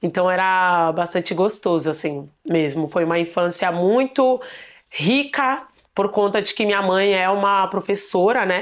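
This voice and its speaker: A woman's ordinary speaking voice at a medium pitch, with ordinary pitch variation, very even loudness and a fairly slow pace over a quiet background. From São Paulo outskirts, Diadema. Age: 20s. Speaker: dancer and choreographer. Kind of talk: personal testimony.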